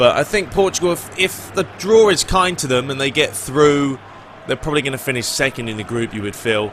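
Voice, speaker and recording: Noticeable background noise accompanies this man. His fairly high-pitched voice has lively intonation. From Britain. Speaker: gaming YouTuber. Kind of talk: casual Q&A commentary. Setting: video with facecam. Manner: casual, with fillers.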